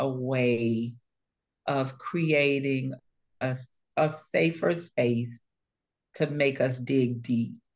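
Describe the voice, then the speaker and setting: A woman with an American accent speaks at a very deep, low pitch. Her intonation is lively. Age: 60s. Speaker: author and community advocate. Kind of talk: interview testimony. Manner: measured, many fillers (uh).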